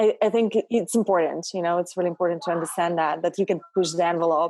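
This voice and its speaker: With a Russian accent, a woman with a fairly low voice speaks very fast in a fairly even intonation. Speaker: actress and model. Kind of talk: interview conversation.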